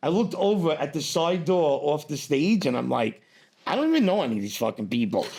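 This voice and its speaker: With a New York accent, a man speaks at a fairly quick pace and a fairly high pitch. His pitch swings very widely. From New York, US. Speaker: stand-up comedian. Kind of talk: casual chat. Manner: fast; animated.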